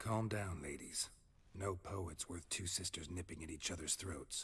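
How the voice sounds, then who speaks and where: This man is doing a put-on character voice. The voice he uses is very deep and low. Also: moderate pace. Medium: video game. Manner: terse, dry, clipped sentences.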